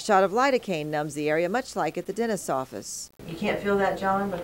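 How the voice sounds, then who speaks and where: A woman with an ordinary speaking voice, medium pitch, lively intonation and a fairly quick pace. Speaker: TV news anchor and health reporter. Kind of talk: TV health news report narration.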